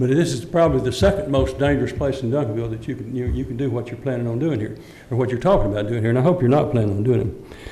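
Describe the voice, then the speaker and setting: Talking at a very fast pace, a man uses a Texan accent and a medium pitch. Audible room echo surrounds the voice. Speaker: resident and former council member. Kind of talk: public comment at council meeting. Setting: city council chamber. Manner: halting, repeats words.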